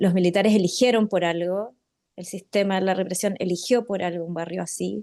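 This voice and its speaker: Darkness and mellowness mark the tone. The intonation holds fairly even. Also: woman. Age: 40s. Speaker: participant in community meeting. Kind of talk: meeting discussion. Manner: halting, many fillers.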